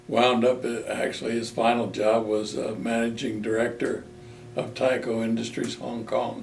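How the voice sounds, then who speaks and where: A man's medium-pitched, monotone, flat voice at a moderate pace, with noticeable background noise and audible room echo. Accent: American. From Maryland, US. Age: 80s+. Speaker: war veteran. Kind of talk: oral history interview.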